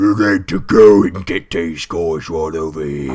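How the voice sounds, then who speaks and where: A man's put-on character voice at a very deep, low pitch. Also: moderate pace. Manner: gross.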